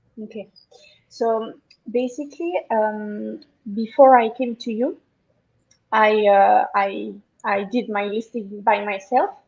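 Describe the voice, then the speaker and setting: A woman speaks with a French accent at a fairly high pitch and ordinary pitch variation. Her pace is very slow, with long, frequent pauses. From France. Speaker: online seller, agency client. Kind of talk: interview. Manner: halting, many fillers.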